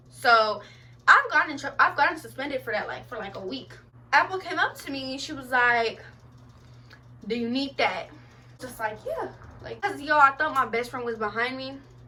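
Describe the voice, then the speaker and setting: In a raised, projected voice with a high pitch, a woman speaks in an animated tone with lively intonation and long, frequent pauses. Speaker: vlogger. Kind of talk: storytelling vlog. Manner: fast.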